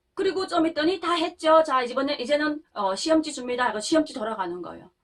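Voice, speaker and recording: A woman with a North Korean accent talks fairly quickly at a high pitch, her pitch swinging very widely. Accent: North Korean intonation, high-pitched. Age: 30s. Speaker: North Korean defector vlogger. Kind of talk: casual storytelling monologue.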